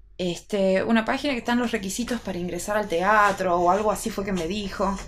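Here is a woman with an ordinary speaking voice. Her pitch is fairly high and her pace moderate. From Salta, northwestern Argentina. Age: 30s. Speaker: opera singer. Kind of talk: casual chat.

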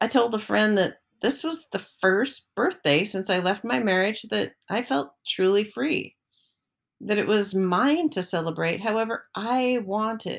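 A woman's ordinary speaking voice at a fairly slow pace. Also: medium pitch for a woman, lively intonation. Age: 60s. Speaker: personal essayist. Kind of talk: reading aloud. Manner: reflective.

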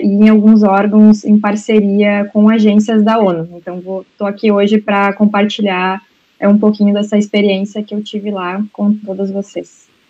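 At a medium pitch, a woman talks with monotone, flat intonation. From Brazil. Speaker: migration aid worker. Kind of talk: panel discussion.

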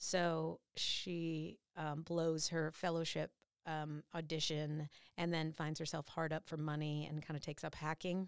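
A woman's very deep, low voice, monotone and flat, at a fairly slow pace, dry and close with no echo, on a very clean recording with a silent background. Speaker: voice actor and singer. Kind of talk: casual interview chat.

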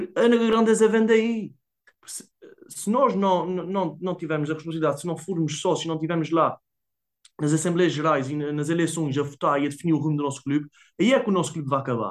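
A man speaks in an Azorean accent at a fairly quick pace. His pitch is high. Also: ordinary pitch variation. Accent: Azorean (São Miguel). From Azores, São Miguel island. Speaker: football fan. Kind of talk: casual interview. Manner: fast.

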